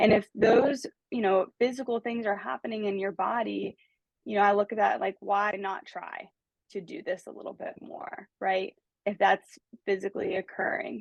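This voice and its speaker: With an American accent and vocal fry, a woman speaks at a moderate pace and a medium pitch, with ordinary pitch variation and big swings in loudness, in a dry, close sound with no echo. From United States. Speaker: life coach. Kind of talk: casual conversation, podcast-style talk.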